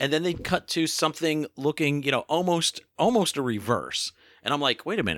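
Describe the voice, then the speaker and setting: On a very clean recording with a silent background, the sound is dry and close with no echo. A man with a bright, sharp tone and a fairly high pitch speaks at a fairly quick pace. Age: 50s. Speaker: film website editor and podcast co-host. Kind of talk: casual chat.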